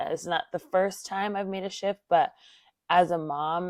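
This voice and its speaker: A woman at a medium pitch and moderate pace with an ordinary speaking voice, in a dry, close sound with no echo and a very clean recording over a silent background. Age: 20s. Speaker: podcast host, mother. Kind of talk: personal monologue podcast.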